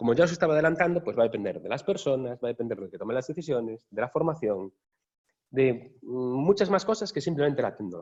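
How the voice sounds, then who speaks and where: Very fast and with very wide pitch swings, a man speaks at a fairly high pitch in a Galician accent. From Galicia, Spain. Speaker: software architect, workshop speaker. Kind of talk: workshop talk. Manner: casual, conversational.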